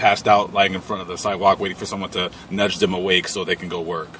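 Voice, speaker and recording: The recording is dry, without any echo. A man talks while light noise sits in the background. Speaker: van dweller vlogger. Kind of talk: casual vlog chat. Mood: blunt, irritated, opinionated. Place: car.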